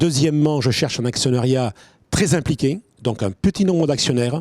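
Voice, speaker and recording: Recorded dry and close with no echo, a man speaks in an ordinary speaking voice at a medium pitch. His pitch variation is ordinary and his pace fairly quick. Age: 60s. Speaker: winegrower and agronomist. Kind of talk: pitch presentation.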